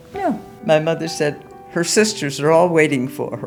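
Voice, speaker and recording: Over music in the background, a woman speaks at a moderate pace with fairly low pitch. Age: 80s+. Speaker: amateur violinist. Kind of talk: interview answer.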